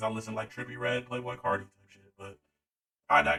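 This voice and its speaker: The man's voice sits at a fairly low pitch. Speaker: youtube commentator. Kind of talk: casual commentary vlog. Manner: animated, yelling.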